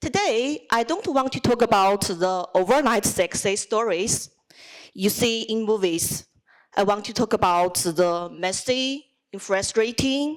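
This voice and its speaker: With a Chinese accent, a woman speaks at a fairly slow pace. Her pitch is fairly high, with ordinary variation. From China. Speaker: student speech contestant, lawyer. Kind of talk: speech competition address.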